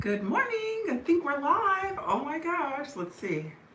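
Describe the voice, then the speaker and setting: Her pitch swinging very widely, a woman speaks at a very slow pace. Room echo and noticeable background noise can be heard. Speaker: lifestyle vlogger. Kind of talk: casual chat. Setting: livestream from home. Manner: higher pitched than usual.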